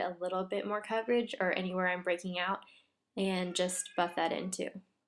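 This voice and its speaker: Soft-spoken, a woman talks at a fairly quick pace. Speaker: beauty vlogger. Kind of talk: tutorial. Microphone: quiet audio.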